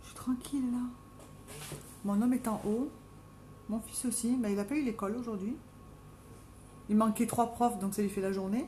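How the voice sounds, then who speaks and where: Delivered in a Marseille accent, the speech has fairly even intonation and long, frequent pauses. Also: woman, fairly high pitch for a woman, moderate pace. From southern France, Marseille. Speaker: makeup live streamer. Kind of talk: live stream casual chat with makeup tutorial. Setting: at home, live video stream.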